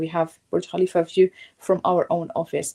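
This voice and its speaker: A woman with an Arabic accent speaks in a flat monotone at a fairly low pitch, her tone dark and mellow, in a very clean recording with a silent background and a dry, close sound with no echo. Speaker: real estate sales manager. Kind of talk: interview on live stream.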